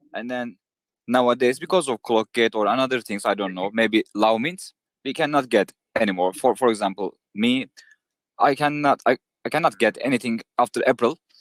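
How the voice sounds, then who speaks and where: Speaking at a moderate pace with a non-native accent, a man uses a medium pitch and ordinary pitch variation, the sound dry and close with no echo. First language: not English. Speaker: community member asking a question. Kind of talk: question in live Q&A. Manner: halting.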